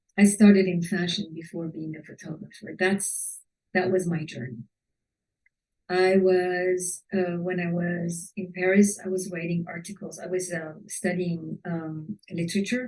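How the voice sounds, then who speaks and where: A woman's fairly low, somewhat breathy voice at a fairly slow pace. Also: fairly even intonation, big swings in loudness. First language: not English. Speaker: fashion photographer and teacher. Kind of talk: webinar talk. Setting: online webinar. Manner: halting.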